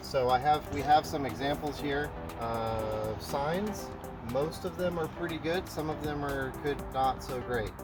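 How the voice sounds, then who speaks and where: With music in the background, the speaker talks at a fairly slow pace with lively intonation. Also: man, fairly high pitch for a man. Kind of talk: casual talk to camera.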